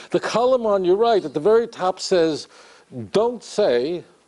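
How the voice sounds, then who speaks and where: Lively intonation marks this man's speech, heard against noticeable background noise. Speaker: counter-missionary rabbi and public speaker. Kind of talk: live lecture to an audience. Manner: animated, sarcastic, conversational.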